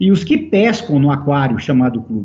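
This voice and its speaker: Somewhat breathy and dark, mellow in tone, a man speaks at a fairly slow pace in a fairly high pitch with very wide pitch swings. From Brazil, São Paulo state (Americana). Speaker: football executive. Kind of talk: interview.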